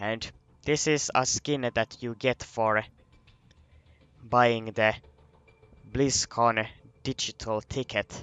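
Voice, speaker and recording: This speaker is a man with a non-native accent. He talks very slowly. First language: not English. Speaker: gaming video creator. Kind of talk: casual game review commentary. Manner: halting, many restarts and fillers.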